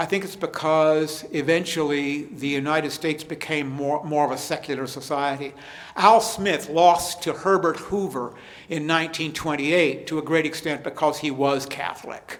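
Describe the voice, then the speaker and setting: A man speaks at a moderate pace with a fairly high pitch and fairly even intonation. Audible room echo surrounds his voice. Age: 70s. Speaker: history professor. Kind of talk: lecture Q&A. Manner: halting, repeats words.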